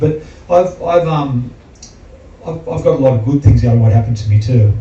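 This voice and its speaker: Over noticeable background noise, a man with an Australian accent talks fairly quickly at a medium pitch. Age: 60s. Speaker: heart patient and athlete. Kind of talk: testimony.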